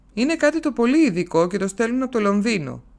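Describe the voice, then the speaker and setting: Speaking in an unremarkable speaking voice, a woman uses lively intonation at a moderate pace. The recording is very clean, with a silent background. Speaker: audiobook narrator. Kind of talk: literary audiobook reading. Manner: expressive, shifts tone between characters.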